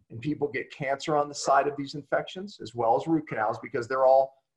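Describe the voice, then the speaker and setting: A somewhat breathy male voice with a fairly high pitch. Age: 50s. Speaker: health expert and author. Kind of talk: interview.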